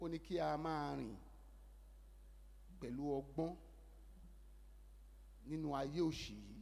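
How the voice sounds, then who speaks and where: A man with a Yoruba accent, fairly slow pace and long, frequent pauses. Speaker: Methodist minister (newly ordained reverend). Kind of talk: church sermon. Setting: church.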